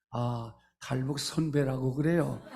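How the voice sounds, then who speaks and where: The voice is somewhat breathy and very slow, with ordinary pitch variation and audible room echo. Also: man. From North Korea. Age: 80s+. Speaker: pastor. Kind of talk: sermon. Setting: church. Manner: hesitant fillers.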